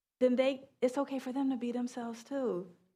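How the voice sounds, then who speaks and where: Dark, mellow tone in an American accent at a moderate pace. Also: woman. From New York. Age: 30s. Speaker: sociologist and author. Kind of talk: book talk Q&A answer. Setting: public library event with audience. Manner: casual, conversational.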